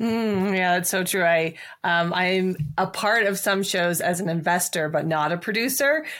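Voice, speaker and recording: A woman with an ordinary speaking voice talks at a moderate pace and medium pitch, her loudness very even, on a very clean recording with a silent background. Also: ordinary pitch variation. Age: 40s. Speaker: podcast host. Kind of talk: interview.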